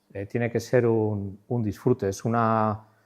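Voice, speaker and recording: A man against a quiet background. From Spain, Navarre (Pamplona), Basque region. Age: 60s. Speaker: art director and designer, lecturer. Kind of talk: conference talk. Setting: stage at a conference. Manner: halting, with many fillers and repetitions.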